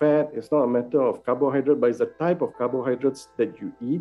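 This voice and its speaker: A man's voice with faint music in the background. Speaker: guest. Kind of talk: interview answer. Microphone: video call.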